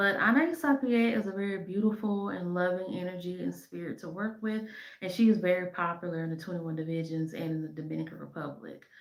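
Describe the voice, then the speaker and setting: Audible room echo surrounds the recording. A woman talks at a very fast pace. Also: medium pitch for a woman, ordinary pitch variation, big swings in loudness. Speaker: spiritual practitioner and shop owner. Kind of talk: educational talk to camera. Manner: halting, many fillers.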